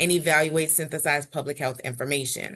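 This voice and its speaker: A woman's plain, everyday voice, fairly low in pitch with ordinary pitch variation, against a quiet background. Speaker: university instructor, faculty panelist. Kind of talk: panel presentation.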